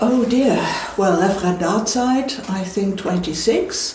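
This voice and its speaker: Over noticeable background noise and audible room echo, a woman talks at a fairly slow pace and fairly high pitch, with ordinary pitch variation. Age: 70s. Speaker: retired teacher. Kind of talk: interview.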